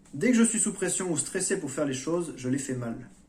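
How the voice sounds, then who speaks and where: Somewhat breathy, a man's voice carries audible room echo. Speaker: YouTuber on personal development. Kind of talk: monologue vlog. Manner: slow; hesitant.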